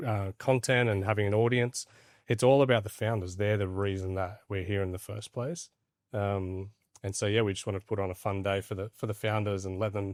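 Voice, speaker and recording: This man speaks with an Australian accent at a fairly low pitch and a fairly quick pace, with fairly even intonation. The sound is dry and close with no echo, on a very clean recording with a silent background. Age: 40s. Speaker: crypto platform founder. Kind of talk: podcast interview. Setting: studio in Dubai.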